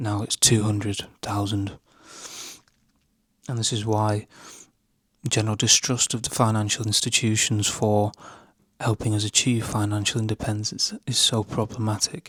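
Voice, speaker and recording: At a moderate pace, a man with a British accent speaks in a flat monotone with long, frequent pauses, on a very clean recording with a silent background and a dry, close sound with no echo. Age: 20s. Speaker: YouTuber. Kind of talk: talking-head commentary. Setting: at home at night.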